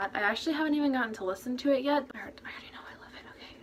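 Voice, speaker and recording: A woman speaks over noticeable background noise. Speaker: youtuber and cover singer. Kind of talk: casual vlog. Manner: fast; monotone.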